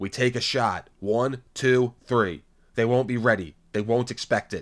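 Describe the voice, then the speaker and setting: The speaker is a man doing a put-on character voice. It sits at a medium pitch and a moderate pace. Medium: read story. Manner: calm, bitter.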